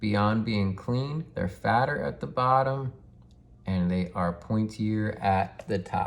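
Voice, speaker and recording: Fairly low male voice, its pitch varying in an ordinary way. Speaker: toy collector and YouTuber. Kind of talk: unboxing tutorial. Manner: casual, filler-heavy; quieter to not disturb daughter.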